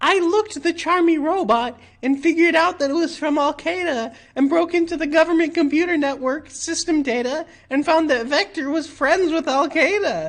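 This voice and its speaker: A high-pitched, put-on character voice. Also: moderate pace. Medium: game stream.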